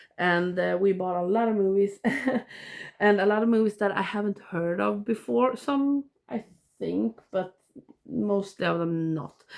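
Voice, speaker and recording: A woman speaks with a Swedish accent. She takes a fairly slow pace. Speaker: movie collector vlogger. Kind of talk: casual vlog. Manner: halting.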